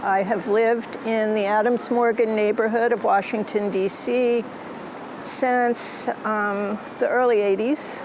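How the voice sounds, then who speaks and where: A woman's monotone, flat delivery at a fairly slow pace, with very even loudness and noticeable background noise. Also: fairly high pitch for a woman. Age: 70s. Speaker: artist. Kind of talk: interview.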